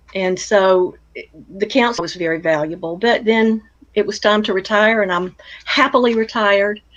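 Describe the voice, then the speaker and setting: A woman with an American accent in a plain, everyday voice, medium in pitch, at a moderate pace with ordinary pitch variation. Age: 60s. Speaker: retired counselor and blogger. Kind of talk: interview conversation.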